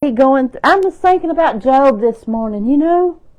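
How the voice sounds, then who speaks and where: A woman speaks with an Alabama accent. Her tone is dark and mellow, with lively intonation. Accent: Southern US (Alabama). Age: 60s. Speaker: faith vlogger. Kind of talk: casual devotional talk.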